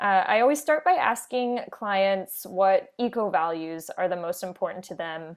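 A woman with an American accent and an ordinary speaking voice, medium pitch with ordinary pitch variation, moderate pace, quiet background. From US, Orlando, Florida. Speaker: wedding planner. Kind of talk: interview. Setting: remote call from home office.

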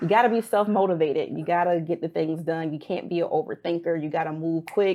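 At a very fast pace with hardly any pauses, a woman with an American accent talks at a fairly low pitch with fairly even intonation. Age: 30s. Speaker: personal injury consultant. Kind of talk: casual interview.

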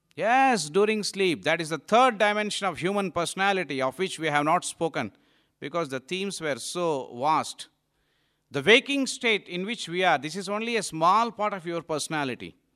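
A man's high, bright, sharp voice in an Indian accent, with lively intonation at a moderate pace, on a very clean recording with a silent background. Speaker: monk giving a talk. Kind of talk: lecture to young audience. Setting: hall with live audience.

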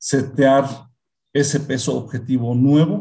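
This man's fairly high voice has a dark, mellow tone and is somewhat breathy. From central Mexico (Hidalgo). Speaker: veterinarian and pig nutrition expert. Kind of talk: interview.

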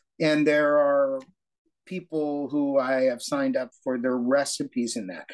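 A man's fairly high, very slow voice with ordinary pitch variation and a dry, close sound with no echo. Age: 60s. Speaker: retired lawyer and diabetes patient. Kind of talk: interview.

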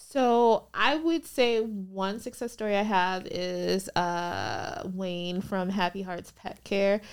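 A woman's medium-pitched voice with ordinary pitch variation, very slow pace and hardly any pauses, in a very clean recording with a silent background. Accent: American. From Minnesota, US; Liberian family. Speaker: business attorney. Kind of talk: casual interview chat.

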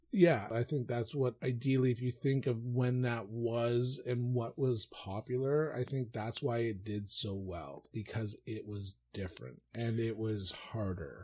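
A man's dark, mellow, somewhat breathy voice, with ordinary pitch variation, a fairly slow pace and hardly any pauses, on a very clean recording with a silent background. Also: medium pitch for a man. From Newfoundland, Canada. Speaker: podcast co-host. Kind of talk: casual chat.

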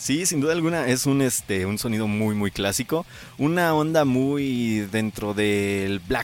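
Speaking very slowly, a man keeps his intonation lively. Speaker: metal radio show host. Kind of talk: casual chat. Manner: stumbling over words.

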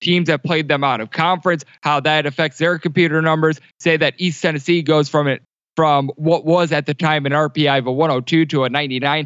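A man with an American accent talks at a fairly quick pace. His voice is fairly high, with monotone, flat intonation. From Wisconsin. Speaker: sports betting analyst and podcast host. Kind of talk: casual chat.

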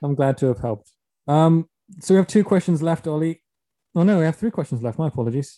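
With a dark, mellow tone and a fairly high pitch, a man speaks at a very fast pace, his lively intonation broken by long, frequent pauses, in a dry, close sound with no echo. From Cornwall, England. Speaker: podcast host. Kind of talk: casual chat.

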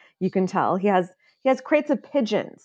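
With a Midwestern American accent, the speaker's pitch moves in an ordinary way against a quiet background. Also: woman. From US Midwest, Illinois. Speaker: political insider, film discussion guest. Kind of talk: casual chat.

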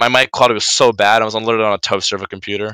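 In a very clean recording with a silent background and a dry, close sound with no echo, the voice is bright and sharp and moves at a very fast pace. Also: man. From eastern US. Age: 18. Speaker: Twitch streamer and game caster. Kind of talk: casual interview chat. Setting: interview during his own live stream. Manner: animated.

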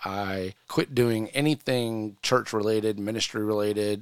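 A man's fairly low voice at a moderate pace, a normal speaking voice, in a very clean recording with a silent background and a dry, close sound with no echo. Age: 40s. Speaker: podcast host. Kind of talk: personal testimony.

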